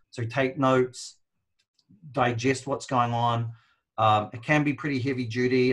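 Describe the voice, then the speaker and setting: A man's somewhat breathy voice holds fairly even intonation against a quiet background. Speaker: marketing business co-owner, webinar host; webinar host. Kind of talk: live online training intro. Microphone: video call.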